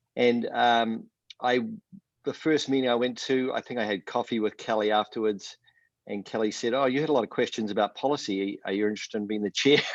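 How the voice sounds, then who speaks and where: With a New Zealand accent, a man talks fairly quickly at a medium pitch and with fairly even intonation. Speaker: professor. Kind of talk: panel town hall introduction.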